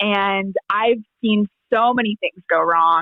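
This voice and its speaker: This woman has a plain, everyday voice at a medium pitch, with ordinary pitch variation. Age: young. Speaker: charity auctioneer. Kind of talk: podcast interview answer.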